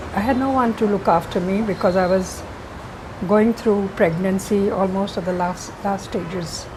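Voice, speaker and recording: A woman's medium-pitched voice at a moderate pace, with fairly even intonation over noticeable background noise. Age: 80s+. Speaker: painter, interior designer, school founder. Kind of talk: interview answer.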